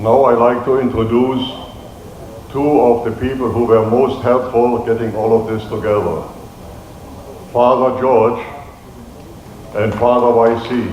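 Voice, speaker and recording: In a slight German accent, a man at medium pitch talks at a fairly slow pace with monotone, flat intonation and long, frequent pauses, against audible room echo and noticeable background noise. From Germany. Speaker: event organizer. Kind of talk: speech at community event.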